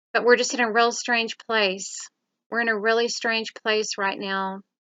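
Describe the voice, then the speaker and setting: Her fairly high voice stays monotone and flat as the woman speaks at a fairly slow pace. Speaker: YouTuber, lifestyle and safety vlogger. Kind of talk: casual vlog monologue. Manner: hesitant, frequent filler words.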